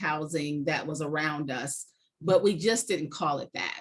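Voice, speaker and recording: An American accent from a woman, at a fairly slow pace. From Connecticut, US Northeast. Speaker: nonprofit chief executive. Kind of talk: talk to a club. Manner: hesitant with frequent fillers.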